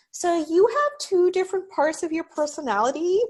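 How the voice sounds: Using a put-on character voice, the speaker talks at a moderate pace with an extremely high pitch.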